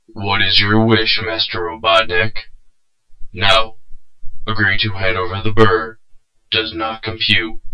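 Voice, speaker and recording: A man's put-on character voice, medium in pitch, monotone and flat, at a fairly slow pace with long, frequent pauses. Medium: dub. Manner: flat, mechanical.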